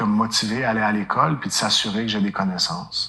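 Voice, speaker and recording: This man's voice is fairly low-pitched with ordinary pitch variation. He talks at a fairly quick pace. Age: 40s. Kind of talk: testimony. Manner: hesitant fillers.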